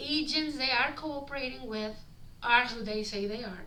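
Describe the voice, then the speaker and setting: A woman's fairly high voice with a strong non-native accent, at a moderate pace, with audible room echo and noticeable background noise. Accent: heavy foreign. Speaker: street performer and vlogger. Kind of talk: vlog reading from a script. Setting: recorded on body camera. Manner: halting.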